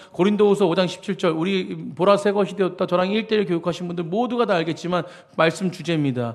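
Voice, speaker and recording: Against noticeable background noise, a high-voiced man speaks at a very fast pace with ordinary pitch variation. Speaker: senior pastor. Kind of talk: sermon.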